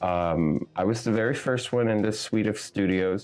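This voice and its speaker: Music plays in the background. A man talks in a fairly low-pitched voice. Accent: Spanish. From Puerto Rico. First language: Spanish. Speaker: visual artist. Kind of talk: interview.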